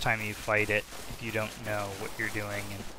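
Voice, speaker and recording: Fairly low-pitched male speech at a moderate pace, monotone and flat, over noticeable background noise. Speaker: let's play gamer. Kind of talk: casual gameplay commentary. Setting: headset microphone, poor audio.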